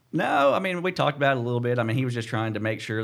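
A man talks at a very fast pace. He speaks with an American accent. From Missouri, US. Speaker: tournament bass angler. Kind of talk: casual interview. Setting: studio.

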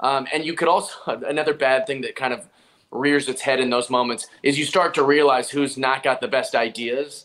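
This is a normal speaking voice with an American accent. It moves at a moderate pace with fairly even intonation. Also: man, fairly high pitch for a man. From Seattle, US Pacific Northwest. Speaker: stand-up comedian. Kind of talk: casual interview chat.

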